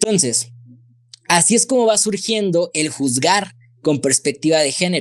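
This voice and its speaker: His pitch is high and his intonation lively. The man keeps his loudness very even. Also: fairly slow pace. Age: 20s. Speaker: lawyer; guest. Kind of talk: expert explanation in interview. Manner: halting, repeats words. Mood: explanatory, friendly. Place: home room. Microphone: studio mic.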